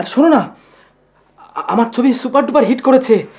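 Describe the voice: Putting on a character voice, a man talks at a fairly quick pace in an extremely high pitch, with a slightly mellow tone, a slightly husky edge and ordinary pitch variation.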